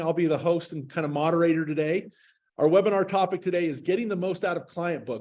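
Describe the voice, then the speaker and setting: A man talks with a high-pitched voice. His pace is very fast. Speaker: head of marketing, webinar moderator. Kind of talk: webinar presentation. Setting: video call.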